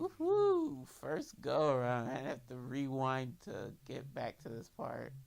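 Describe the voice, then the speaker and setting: A woman speaks at a very slow pace, her loudness swinging widely. Music plays in the background. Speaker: gamer, video game commentator. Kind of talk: casual let's play commentary.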